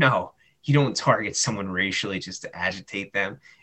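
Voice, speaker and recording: This man has a New Jersey accent. He talks at a moderate pace. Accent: American, New Jersey. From United States. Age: 30s. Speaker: teacher and football columnist. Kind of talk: interview. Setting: phone call.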